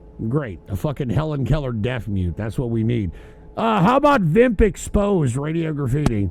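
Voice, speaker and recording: Noticeable background noise runs under this recording. The man's pitch swings very widely. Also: moderate pace. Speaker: call-in radio show host. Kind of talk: call-in show banter. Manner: halting, stammering.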